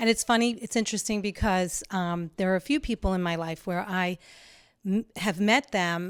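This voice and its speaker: A woman speaks at a moderate pace with ordinary pitch variation. It's an ordinary speaking voice, and the sound is dry and close with no echo. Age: 60s. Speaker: landscape designer. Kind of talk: casual chat.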